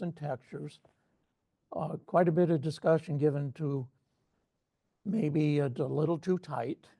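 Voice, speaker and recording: At a fairly slow pace, a man speaks in a dark, mellow tone that is somewhat breathy and fairly high in pitch. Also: long, frequent pauses. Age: old. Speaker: photo club judge presenting feedback. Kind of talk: photo critique presentation.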